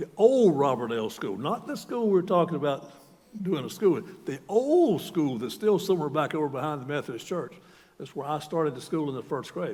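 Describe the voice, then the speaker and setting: A man with a Southern US accent speaks at a fairly quick pace in a fairly high voice. His pitch swings very widely. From US South, North Carolina. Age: 70s. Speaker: retired university president. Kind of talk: sermon. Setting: church.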